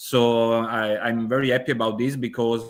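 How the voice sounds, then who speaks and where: A man of medium pitch speaks at a moderate pace. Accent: Italian. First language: Italian. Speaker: event host. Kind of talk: online interview. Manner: halting.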